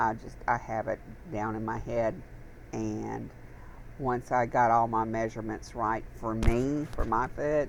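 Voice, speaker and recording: Speaking at a fairly slow pace, a woman uses a very deep, low pitch with vocal fry and fairly even intonation. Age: 60s. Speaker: YouTube crafting vlogger. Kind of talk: casual chat.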